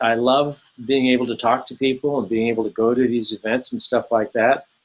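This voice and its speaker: In a plain, everyday voice, a man with an American accent talks at medium pitch. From Southern California. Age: 60s. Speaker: author and former illustrator. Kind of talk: interview.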